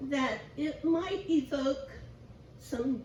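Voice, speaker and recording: Against audible room echo, a woman speaks at a high pitch with ordinary pitch variation. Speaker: guest preacher. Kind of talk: sermon.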